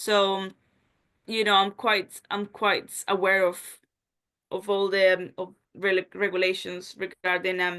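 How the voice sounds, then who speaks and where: A woman with a Spanish accent, medium in pitch, bright and sharp in tone, very slow and monotone against a quiet background. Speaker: job interview candidate. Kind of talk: job interview (role-play). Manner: casual, filler-heavy.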